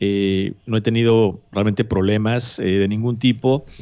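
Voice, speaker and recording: Fairly even intonation comes through against a quiet background. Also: man. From Mexico City, Mexico; Mexico. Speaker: immigration consultant; podcast guest or host. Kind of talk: interview. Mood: friendly, relaxed. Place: office. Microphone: studio mic.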